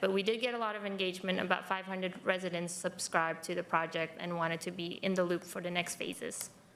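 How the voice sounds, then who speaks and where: Noticeable background noise under a woman's medium-pitched voice, fairly even in intonation and fairly quick in pace. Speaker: county transportation project staff. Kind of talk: presentation to a board meeting. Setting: public board meeting, hybrid.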